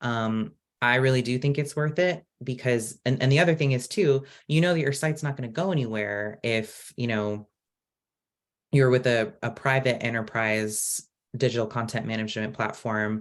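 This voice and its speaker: A man with an American accent speaks at a moderate pace in a plain, everyday voice, his medium pitch showing ordinary variation. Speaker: open source community program director. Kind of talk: online presentation Q&A. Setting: video call.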